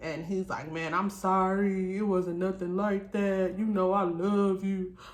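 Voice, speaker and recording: A woman's medium-pitched voice at a moderate pace, with audible room echo. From Detroit, US. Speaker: YouTuber, single mother. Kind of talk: story time vlog with mukbang. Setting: at home at night. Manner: loud.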